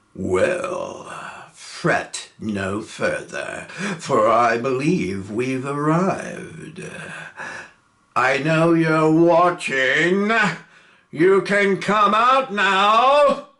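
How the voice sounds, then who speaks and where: A man's put-on character voice, high-pitched for a man, with very wide pitch swings, a very slow pace and long, frequent pauses. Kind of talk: stage comedy villain. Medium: stage play. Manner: smooth, refined, polite.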